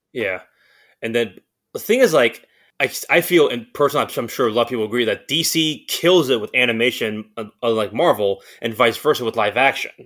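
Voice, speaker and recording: Fairly quick in pace, a man speaks in a plain, everyday voice with ordinary pitch variation. The recording is very clean with a silent background. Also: medium pitch for a man. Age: 30s. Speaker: movie buff, podcast guest. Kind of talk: casual chat.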